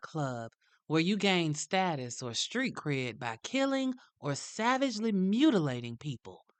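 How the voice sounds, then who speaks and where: A woman with a Southern US accent speaks at a fairly low pitch, her pitch swinging very widely. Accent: southern drawl. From US South. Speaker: true crime podcast host. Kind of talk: scripted narration. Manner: animated.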